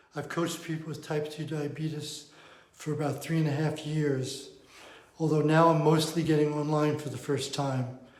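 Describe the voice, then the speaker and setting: With audible room echo, a man speaks at a moderate pace in a fairly high, monotone, flat voice. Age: 70s. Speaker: diabetes coach. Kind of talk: talking-head explainer.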